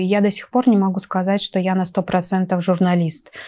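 At a moderate pace, a woman speaks with a dark, mellow tone. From Russian Far East, Nakhodka (Primorye); Russian Far East. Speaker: journalist and photographer, university lecturer; journalist, university lecturer. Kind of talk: talk show interview. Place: studio. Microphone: lapel.

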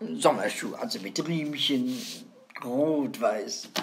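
A woman drags her words out very slowly, her pitch swinging very widely, while noticeable noise fills the background. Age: 90s. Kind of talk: casual chat.

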